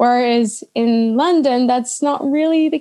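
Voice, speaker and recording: Her pitch is high for a woman. The tone is dark and mellow. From Netherlands, grew up internationally. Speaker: agile coach, expat. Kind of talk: casual interview chat.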